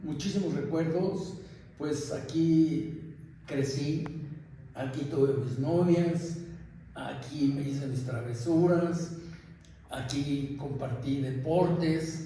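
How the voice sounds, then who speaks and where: Over noticeable background noise and audible room echo, a man with a fairly high pitch speaks very slowly with fairly even intonation. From Mexico City (Mixcoac, colonia San Juan). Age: 70s. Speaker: longtime resident interviewed for oral history. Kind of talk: oral history testimony. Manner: halting, with many fillers.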